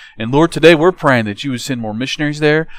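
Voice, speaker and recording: A man speaks with ordinary pitch variation. The sound is dry with no echo, and the background is quiet. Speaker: kids church pastor. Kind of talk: prayer. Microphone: handheld.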